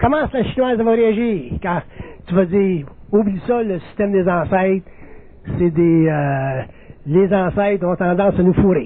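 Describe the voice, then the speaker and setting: A man's high voice with a Quebec accent, fairly slow with long, frequent pauses and ordinary pitch variation, over noticeable background noise. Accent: Québécois French. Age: 60s. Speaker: spiritual lecturer. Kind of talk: lecture.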